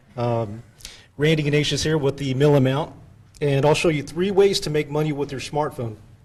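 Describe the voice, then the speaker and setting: A man with an American accent, somewhat breathy, at a moderate pace with fairly even intonation. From Texas. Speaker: inventor, workshop participant. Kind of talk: rehearsing a video script.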